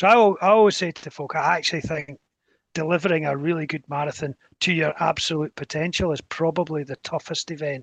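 Dry and close with no echo, a man with a Scottish accent and a fairly high pitch talks at a very fast pace, his intonation fairly even but his loudness swinging widely. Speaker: race director and athletics chairman. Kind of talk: casual interview chat.

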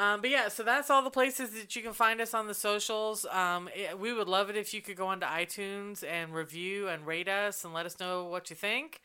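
Here is a woman with an unremarkable speaking voice and a medium pitch. She talks at a moderate pace. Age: 50s. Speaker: podcast co-host. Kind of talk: casual chat.

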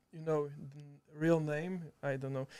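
A man with a Slovak accent at a fairly slow pace, his intonation fairly even. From Slovakia, Žiar nad Hronom. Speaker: video editor. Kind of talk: casual chat. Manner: halting.

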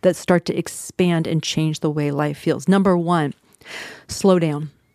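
A woman's dark, mellow voice, fairly low in pitch. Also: dry, close sound with no echo. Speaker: therapist podcast host. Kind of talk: solo podcast monologue with tips. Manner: fast talker, excitable.

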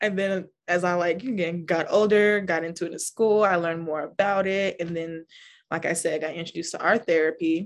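A woman with a plain, everyday voice, speaking at a fairly quick pace with fairly even intonation against a quiet background. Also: fairly low pitch for a woman. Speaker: art therapist. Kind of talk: casual interview chat, live event. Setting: live event.

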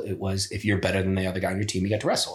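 A man's very deep, low voice, somewhat breathy, with fairly even intonation and an American accent. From US Midwest, Ohio (Pickerington, near Columbus). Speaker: former wrestler. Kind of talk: casual chat.

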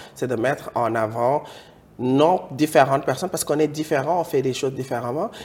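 A man speaks at a fairly quick pace in a fairly high, somewhat breathy voice. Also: ordinary pitch variation. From West Africa. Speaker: YouTube talk show host. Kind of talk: casual chat. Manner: animated.

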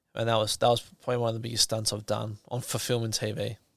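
With an Australian accent, a man speaks very fast at a medium pitch. His intonation is monotone and flat. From Australia, New South Wales. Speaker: stuntman. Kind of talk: casual interview chat.

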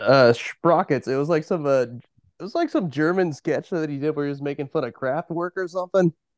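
An unremarkable speaking voice with an American accent, fairly quick pace and ordinary pitch variation, recorded dry and close with no echo against a quiet background. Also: man, fairly high pitch for a man. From Eastern Oregon. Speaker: band musician. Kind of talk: casual interview chat.

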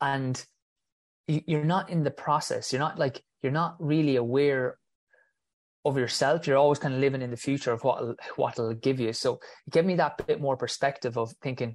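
A man speaks in an Irish accent at a fairly high pitch and a moderate pace, with ordinary pitch variation. The background is quiet. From Ireland. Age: 30s. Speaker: physiotherapist and runner. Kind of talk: casual interview.

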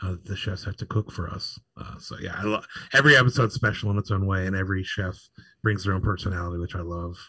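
A man with an American accent speaks at a very fast pace in a fairly low pitch, his tone bright and sharp. His intonation stays fairly even, and the recording is very clean with a silent background. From Pittsburgh, western Pennsylvania. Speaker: food blogger, TV cooking show judge. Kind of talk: casual chat. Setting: live podcast at a bar stage.

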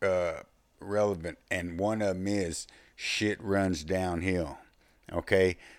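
A man with a Texas accent, a very deep, low pitch and fairly even intonation, on a very clean recording with a silent background. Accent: Southern US, Texas. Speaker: former prison inmate, podcaster. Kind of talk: casual storytelling monologue. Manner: casual, rambling, profane.

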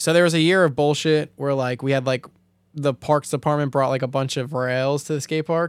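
A man with a plain, everyday voice talks at a fairly quick pace and fairly high pitch, with fairly even intonation. The recording is very clean with a silent background and a dry, close sound with no echo. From Staten Island, New York. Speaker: drifter and mechanic. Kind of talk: casual chat.

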